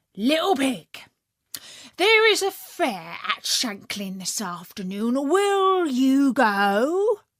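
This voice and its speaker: A woman's put-on character voice, high in pitch, very slow, with very wide pitch swings. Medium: read story. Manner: sly.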